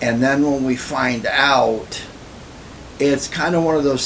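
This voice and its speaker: With noticeable background noise and audible room echo, a man speaks at a fairly slow pace with fairly even intonation. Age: 60s. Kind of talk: personal vlog monologue. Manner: casual, filler-heavy.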